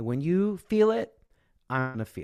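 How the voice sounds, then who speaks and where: A man with a Midwestern American accent talks at a fairly slow pace, his pitch swinging very widely. The recording is very clean, with a silent background. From Midwestern US, Kansas. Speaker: voice and speaking coach, former singing teacher. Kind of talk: interview answer.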